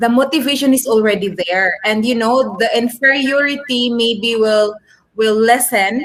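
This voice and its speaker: The voice keeps a very even loudness while moving at a fairly slow pace. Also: woman, fairly high pitch for a woman, ordinary pitch variation. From Philippines, provincial area. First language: Filipino. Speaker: English teacher. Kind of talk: class discussion. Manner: code-switching English and Tagalog with many fillers.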